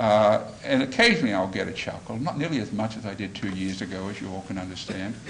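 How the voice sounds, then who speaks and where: A man with an Australian accent talks at a fairly quick pace and ordinary pitch variation, with audible room echo and noticeable background noise. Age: old. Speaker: former judge and mediator. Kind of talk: speech to lawyers.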